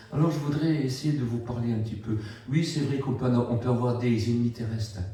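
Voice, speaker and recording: Noticeable background noise and audible room echo are present. A man of medium pitch speaks at a moderate pace with fairly even intonation. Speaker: preacher. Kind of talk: sermon. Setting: church.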